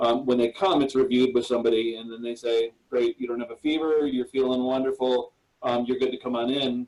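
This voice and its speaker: At a fairly quick pace, a man talks at medium pitch with fairly even intonation. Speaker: church operations leader. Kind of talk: webinar panel presentation. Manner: fast; hesitant, many fillers.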